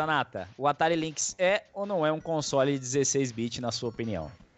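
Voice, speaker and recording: A man talks in an ordinary speaking voice, fairly high in pitch, with lively intonation. His pace is moderate and he leaves hardly any pauses. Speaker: podcast host. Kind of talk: casual chat.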